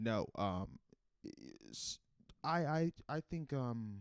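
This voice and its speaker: Very wide pitch swings mark this man's speech. He has an American accent. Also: dry, close sound with no echo. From North Carolina. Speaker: comedian podcast host. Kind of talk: comedic solo podcast. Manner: animated; hesitant, many fillers.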